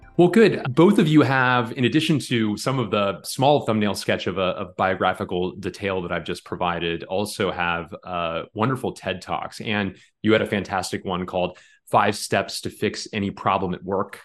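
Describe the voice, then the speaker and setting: Speech at a moderate pace carries lively intonation against a quiet background. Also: man, fairly low pitch for a man. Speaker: podcast host. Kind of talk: interview.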